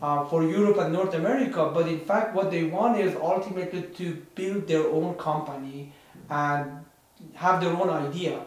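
A man with a Persian accent and a high voice speaks at a moderate pace amid noticeable background noise and audible room echo. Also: ordinary pitch variation. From Iran. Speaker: podcast co-host. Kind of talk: casual chat.

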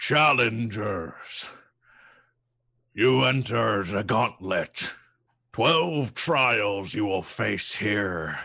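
A man talks in a put-on character voice, raspy, booming and loud, with a fairly low pitch. He goes at a very slow pace, with long pauses that come often. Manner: commanding, intimidating.

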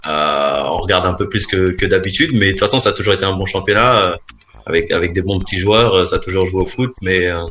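A man at a fairly low pitch and fairly quick pace, with noticeable background noise. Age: 30s. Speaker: amateur football coach. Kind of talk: casual quiz show. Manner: halting.

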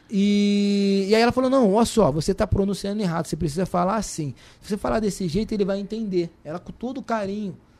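A man's high-pitched voice at a very fast pace, with hardly any pauses and big swings in loudness. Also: ordinary pitch variation. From Rio de Janeiro (Andaraí community), born in Salvador. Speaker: chef and social activist. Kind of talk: casual interview. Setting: studio.

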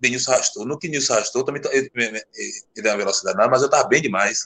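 Against a quiet background, a man speaks at a very fast pace in a bright, sharp tone. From Brazil, Salvador (Bahia). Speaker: retired footballer. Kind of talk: casual interview.

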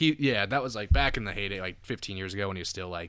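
On a very clean recording with a silent background, a man talks at a very fast pace in a bright, sharp tone with ordinary pitch variation. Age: 20s. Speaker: podcast host, grad student. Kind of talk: casual chat.

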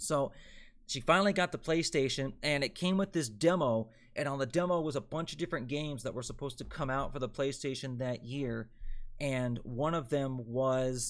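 A man speaks in an unremarkable speaking voice, fairly high-pitched, with an American accent and ordinary pitch variation at a moderate pace. The recording is very clean, with a silent background. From Delaware, US. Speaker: sports podcast host and NFL writer. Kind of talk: solo sports podcast monologue, live streamed. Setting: live stream.

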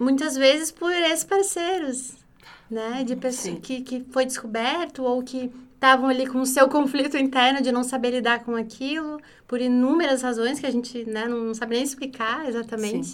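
Her pitch high and its variation ordinary, a woman speaks at a moderate pace. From interior of Rio Grande do Sul, Brazil. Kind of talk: podcast interview.

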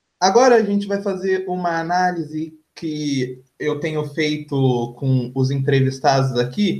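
His voice is somewhat breathy. The man uses ordinary pitch variation. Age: young. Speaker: podcast host. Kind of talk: interview.

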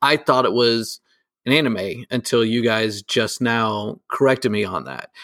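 A man speaks at a fairly slow pace with vocal fry and a medium pitch. His pitch varies in an ordinary way, and the sound is dry and close with no echo. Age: 30s. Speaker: podcast co-host. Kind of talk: casual chat.

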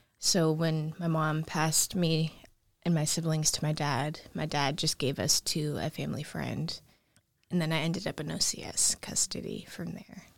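On a very clean recording with a silent background, a woman speaks slowly in a very deep, low voice with vocal fry and fairly even intonation. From Alaska, Anchorage. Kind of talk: personal life story interview.

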